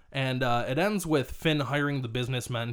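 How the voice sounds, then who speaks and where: A man talks at a medium pitch with ordinary pitch variation. He has an ordinary speaking voice and keeps a fairly quick pace. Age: 30s. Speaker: returning podcast guest. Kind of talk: casual chat. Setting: in a van.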